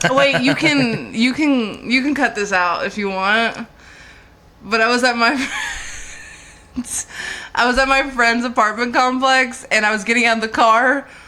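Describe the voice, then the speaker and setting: Through noticeable background noise, a woman speaks at a moderate pace and high pitch, with ordinary pitch variation and long, frequent pauses. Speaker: comedian. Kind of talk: casual chat.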